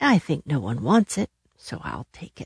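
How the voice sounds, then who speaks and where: A woman's put-on character voice, raspy and very deep in pitch, at a moderate pace. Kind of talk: bedtime story. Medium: read story.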